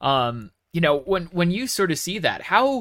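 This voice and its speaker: A man, an ordinary speaking voice, uses lively intonation at a moderate pace, and the recording is very clean with a silent background. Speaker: podcast host. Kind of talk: casual chat.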